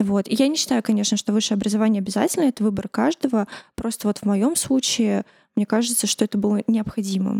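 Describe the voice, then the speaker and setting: A woman with a fairly high pitch speaks at a very fast pace, with ordinary pitch variation and very even loudness, in a dry, close sound with no echo. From Uzbekistan, Tashkent. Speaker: press service head. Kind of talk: interview. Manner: soft-spoken.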